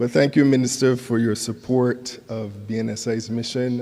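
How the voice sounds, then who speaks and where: A man speaks with a dark, mellow tone. He goes at a fairly slow pace with monotone, flat intonation. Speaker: conference speaker, institution official. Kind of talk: formal speech. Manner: formal.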